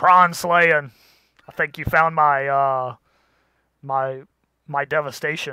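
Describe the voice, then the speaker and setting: Putting on a character voice, a man speaks with fairly high pitch. His pace is very slow, broken by long, frequent pauses. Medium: actual play.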